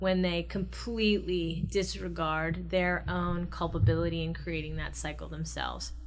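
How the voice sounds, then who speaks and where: Audible room echo surrounds a woman speaking in an American accent. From US Midwest, Ohio. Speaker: podcast co-host, academic commentator. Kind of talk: casual political discussion.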